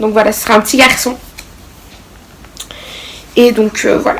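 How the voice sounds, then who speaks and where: A woman at a fairly slow pace with long, frequent pauses, over noticeable background noise. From Belgium. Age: young. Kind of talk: casual talk to camera.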